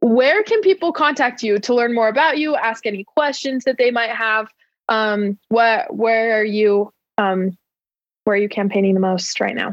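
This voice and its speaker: A woman with an American accent speaks in a normal speaking voice at a fairly high pitch. Her pace is moderate, with ordinary pitch variation. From Arizona, raised partly in Utah. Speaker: student podcast host. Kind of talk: casual chat and interview. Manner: lots of fillers, laughing.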